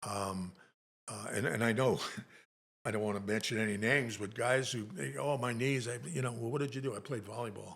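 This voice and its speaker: A man's medium-pitched voice with vocal fry, at a fairly quick pace amid audible room echo. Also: ordinary pitch variation. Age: 80s+. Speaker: Navy Vietnam veteran. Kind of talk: casual chat.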